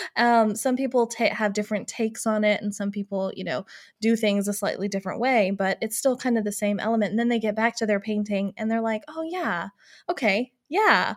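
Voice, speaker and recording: Speaking at a fairly quick pace, a woman has a plain, everyday voice, fairly high in pitch with ordinary variation. The recording is very clean, with a silent background. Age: 30s. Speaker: podcast co-host, former art business owner. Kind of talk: casual chat.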